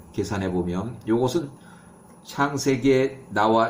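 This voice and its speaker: A man at medium pitch speaks very slowly, with ordinary pitch variation. Room echo is audible. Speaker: bible teacher. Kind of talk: lecture. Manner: halting, self-correcting.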